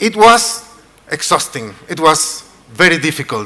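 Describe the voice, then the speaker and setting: With a Chilean accent, a man talks in a raised, projected voice at a fairly slow pace with lively intonation over noticeable background noise. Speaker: event host. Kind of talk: event hosting on stage.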